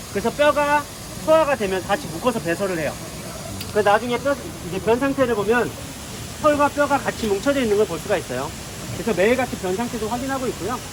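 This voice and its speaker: Someone talks at a very fast pace with long, frequent pauses over noticeable background noise. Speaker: zookeeper. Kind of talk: live animal talk to visitors. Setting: outdoors.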